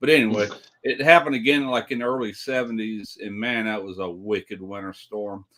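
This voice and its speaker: A man with a Southern US accent speaks at a fairly quick pace and medium pitch, his tone bright and sharp, with ordinary pitch variation and big swings in loudness. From US South, South Mississippi. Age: 60s. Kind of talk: casual chat.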